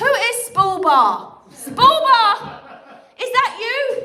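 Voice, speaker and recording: A woman speaks in a raised, projected voice, with audible room echo and noticeable background noise. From England. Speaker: comedian. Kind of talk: stand-up; livestream chat. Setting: livestream. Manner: animated.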